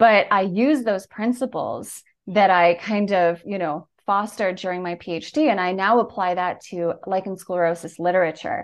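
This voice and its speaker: Speaking with an unremarkable speaking voice, a woman of medium pitch keeps a moderate pace with ordinary pitch variation and hardly any pauses. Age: 30s. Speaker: patient advocate and content creator. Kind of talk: interview.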